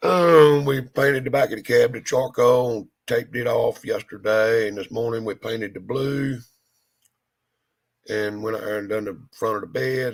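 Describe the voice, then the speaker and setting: A man talks in a Southern US accent at a moderate pace. His pitch is medium, with ordinary variation. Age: 60s. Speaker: hot rod shop owner. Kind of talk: casual chat.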